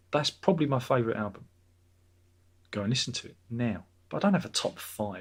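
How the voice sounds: A man's medium-pitched, somewhat breathy voice moves at a fairly quick pace, swinging very widely in pitch, with long, frequent pauses.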